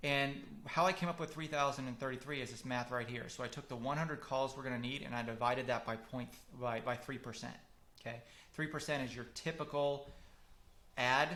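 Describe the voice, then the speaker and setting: Audible room echo surrounds a man who speaks at a medium pitch and a fairly quick pace, with a bright, sharp tone. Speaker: marketing consultant for public adjusters. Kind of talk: webinar lecture. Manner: fast; animated.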